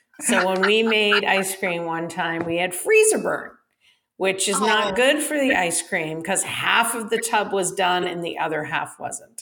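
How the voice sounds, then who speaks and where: The speaker has a plain, everyday voice. The pace is moderate, with ordinary pitch variation. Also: woman, medium pitch for a woman. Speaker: podcast co-host. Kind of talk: casual chat.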